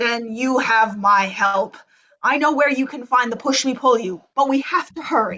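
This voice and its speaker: A woman uses a put-on character voice, high in pitch. She speaks at a moderate pace. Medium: stage play.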